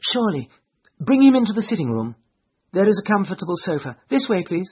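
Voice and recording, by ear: The put-on character voice moves at a fairly quick pace, with a slightly husky edge and big pitch swings. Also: man, high pitch for a man.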